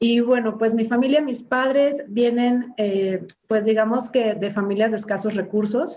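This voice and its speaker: A woman's fairly high, dark and mellow voice at a fairly slow pace, with fairly even intonation. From Mexico, Cuernavaca, Morelos. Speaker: politician, government official. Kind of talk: interview. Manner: slow, halting.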